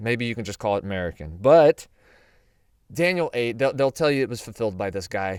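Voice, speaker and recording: An animated man at medium pitch with a Southern US accent, very wide pitch swings, on a very clean recording with a silent background. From US South. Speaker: Bible prophecy teacher. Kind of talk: Bible teaching. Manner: casual, animated.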